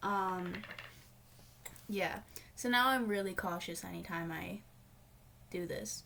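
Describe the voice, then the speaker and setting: A woman's lively intonation comes through noticeable background noise. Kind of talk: casual talk to camera. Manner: rambling, hesitant.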